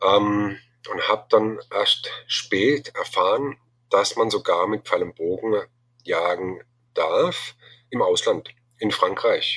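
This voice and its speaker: A man speaks here. His pace is very slow. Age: 40s. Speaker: bowhunting association chairman. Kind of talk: interview. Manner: halting, many filler sounds.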